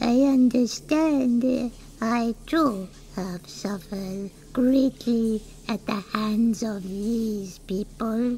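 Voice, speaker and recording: A put-on character voice speaks in a gentle tone at a very slow pace. Clear background noise is audible behind it. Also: female-sounding voice, fairly high pitch for a woman. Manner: meek, polite, gentle.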